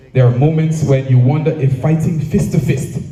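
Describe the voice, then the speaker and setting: A man is speaking with ordinary pitch variation. Audible echo fills the room. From Jamaica. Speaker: association president. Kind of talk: speech. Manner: formal.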